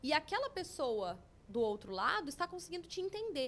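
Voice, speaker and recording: A woman's high-pitched, bright, sharp voice in a Paraná accent, fairly quick in pace with very wide pitch swings. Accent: Paraná accent, strongly rolled R. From Brazil, Paraná. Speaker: language school representative. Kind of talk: podcast interview.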